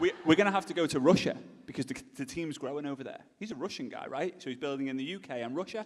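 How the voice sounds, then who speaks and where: A man with an English accent, fairly high pitch, a very fast pace and big swings in loudness. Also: ordinary pitch variation. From England. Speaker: speaker at a business event. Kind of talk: storytelling talk.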